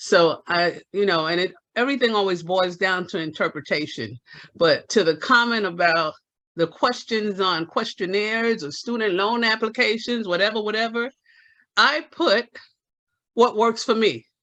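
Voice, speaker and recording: A man's raised, projected voice, bright and sharp, high in pitch with ordinary pitch variation, at a moderate pace over a quiet background. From Spanish-speaking country abroad. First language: Spanish. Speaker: meeting participant. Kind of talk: community meeting discussion.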